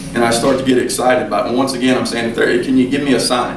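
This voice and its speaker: Amid noticeable background noise and audible room echo, a man at a medium pitch talks very fast in a monotone, flat intonation. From western Kentucky. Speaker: college basketball coach. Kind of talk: speech to a club. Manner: conversational, halting with repetitions.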